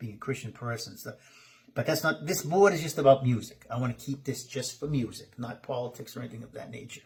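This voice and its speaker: A man's somewhat breathy voice. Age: 50s. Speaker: musician and online host. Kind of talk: casual talk to camera. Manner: informal, conversational.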